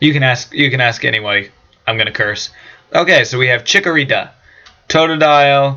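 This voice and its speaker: A man talks at a fairly quick pace with ordinary pitch variation, broken by long, frequent pauses. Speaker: gaming youtuber. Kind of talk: let's play commentary. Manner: fast; casual, hesitant fillers.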